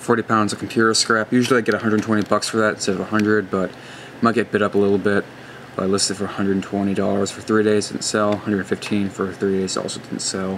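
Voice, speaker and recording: Speech comes at a very fast pace in a monotone, flat intonation. Noticeable background noise runs underneath. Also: man, fairly low pitch for a man. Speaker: tech hobbyist vlogger. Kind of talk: casual video walkthrough. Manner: halting, many fillers.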